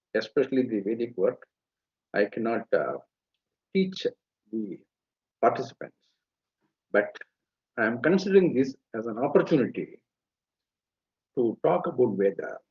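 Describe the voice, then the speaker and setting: Pitch swinging very widely around a medium level, a man speaks with long, frequent pauses. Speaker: Veda scholar. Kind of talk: lecture. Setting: live webinar. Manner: slow.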